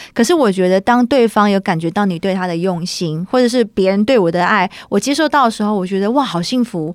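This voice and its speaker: Here a woman speaks at a fairly quick clip with hardly any pauses. Her medium-pitched voice carries lively intonation. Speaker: singer-songwriter. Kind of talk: interview. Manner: animated.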